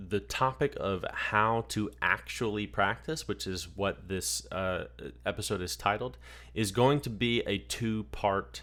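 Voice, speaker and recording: The delivery comes at a fairly slow pace with lively intonation and vocal fry, in a very clean recording with a silent background. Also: man, fairly low pitch for a man. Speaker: podcast host and clay shooting coach. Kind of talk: podcast monologue. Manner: hesitant, many fillers.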